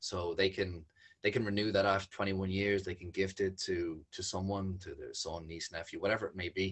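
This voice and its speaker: A man with a Dublin accent speaks at a moderate pace in a very deep, low, somewhat breathy voice. His delivery is flat and monotone, though his loudness swings a lot. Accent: Irish (Dublin). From Ireland. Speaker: environmental charity founder. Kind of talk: casual chat. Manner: halting.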